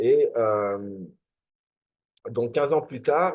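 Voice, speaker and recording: The speaker is a man with lively intonation. He talks at a very slow pace. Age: 40s. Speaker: network marketing promoter. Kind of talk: sales presentation. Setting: screen-share video presentation. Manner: halting, many filler words.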